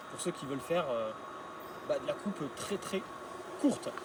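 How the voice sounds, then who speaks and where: Speaking with an Occitanie accent, a man talks at a moderate pace and a high pitch. Noticeable background noise can be heard. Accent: southern French (Occitanie). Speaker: garden equipment seller. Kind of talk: product demonstration.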